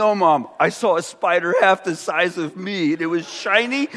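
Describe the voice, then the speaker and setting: Over noticeable background noise, a man with an American accent uses a raised, projected voice at a moderate pace. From California. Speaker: pastor. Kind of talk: sermon. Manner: animated.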